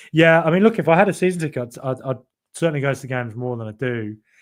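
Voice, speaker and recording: Music plays in the background. A man talks at a very fast pace with lively intonation. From Birmingham area, England. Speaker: football podcast host. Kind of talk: live stream fan chat. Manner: animated; halting.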